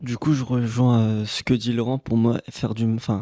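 The voice has a dark, mellow tone and monotone, flat intonation, with a dry, close sound, no echo, and a very clean recording with a silent background. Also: man. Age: 20s. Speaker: recent master's graduate. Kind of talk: casual discussion.

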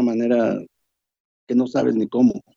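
The man's voice is medium in pitch with a dark, mellow tone. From Mexico. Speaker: bereaved parent. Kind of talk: panel discussion.

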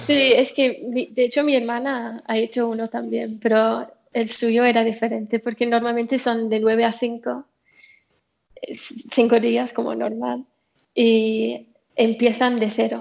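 A woman speaks very slowly at a fairly high pitch, her intonation monotone and flat. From England. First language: English (speaking Spanish). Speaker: software developer. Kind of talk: casual chat.

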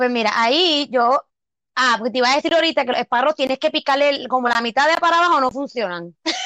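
A woman talks at a very fast pace and high pitch in a raised, projected voice, with ordinary pitch variation, very even loudness and a dry, close sound with no echo. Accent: Puerto Rican. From Puerto Rico. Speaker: podcast co-host. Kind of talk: casual chat.

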